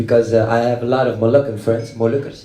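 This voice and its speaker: A somewhat breathy man speaks in a Dutch accent, with audible room echo around him. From Netherlands, Dutch-Moroccan. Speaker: rock musician. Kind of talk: panel discussion. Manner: halting.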